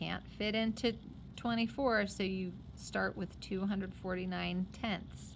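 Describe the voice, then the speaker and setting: The pace is fairly slow. Vocal fry runs through the voice. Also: woman. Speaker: math teacher. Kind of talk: tutorial.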